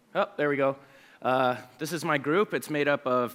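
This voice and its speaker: Fairly high-pitched male voice, bright and sharp in tone. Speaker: researcher and conference speaker. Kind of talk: conference talk. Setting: stage with audience. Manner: fast when excited; animated.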